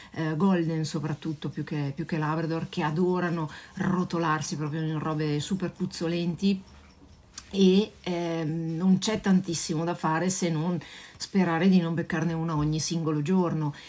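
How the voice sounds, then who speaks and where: Speaking at a moderate pace, a woman keeps a fairly low pitch and a monotone, flat intonation. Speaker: dog trainer answering viewers. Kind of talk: casual live Q&A chat. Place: home room. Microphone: phone near.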